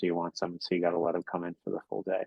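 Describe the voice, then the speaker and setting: The speaker is a man. He has a very deep, low pitch. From New York. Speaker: special education attorney. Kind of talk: presentation to parent group. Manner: fast.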